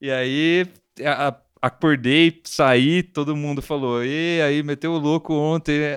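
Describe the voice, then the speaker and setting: A man with an unremarkable speaking voice talks at a fairly high pitch with fairly even intonation. The sound is dry and close, with no echo. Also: very clean recording, silent background. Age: 30s. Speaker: podcast host. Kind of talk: casual chat.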